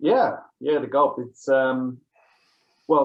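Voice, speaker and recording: The speaker is a man with a slight English accent. His pitch is fairly high. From England. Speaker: author. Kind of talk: interview.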